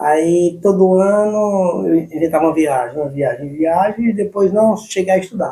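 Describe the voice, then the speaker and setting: A man with a high pitch and a dark, mellow tone talks at a moderate pace with ordinary pitch variation. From Brazilian Northeast, Santa Cruz do Capibaribe, Pernambuco. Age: 40s. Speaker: long-distance cyclist. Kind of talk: interview. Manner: halting.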